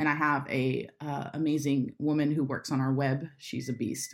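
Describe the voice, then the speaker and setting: A woman speaks with an American accent. The recording is very clean, the background silent. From Florida, Jacksonville. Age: 30s. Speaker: church creative director. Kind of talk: interview. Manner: direct, to the point.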